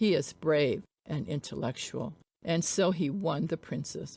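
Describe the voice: A woman puts on a character voice that is low for a woman, dark and mellow in tone with a slightly husky edge and vocal fry, and her pitch varies in an ordinary way. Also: fairly slow pace.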